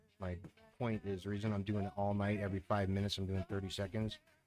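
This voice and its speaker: Music plays in the background as a man speaks very fast in a fairly low pitch. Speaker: amateur astrophotographer. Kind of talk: live stream chat. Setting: home at night, music playing. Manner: quiet, talking low; relaxed.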